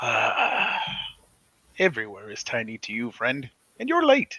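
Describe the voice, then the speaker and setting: This man speaks at a moderate pace in a put-on character voice. His pitch sits in the medium range. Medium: actual play. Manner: cryptic, wry.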